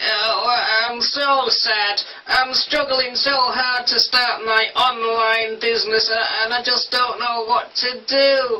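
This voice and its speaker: This cartoonish character voice is whiny and fairly high-pitched, moving at a very slow pace with hardly any pauses. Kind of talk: comic overacting. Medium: puppet show. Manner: mopey, whiny, then hopeful.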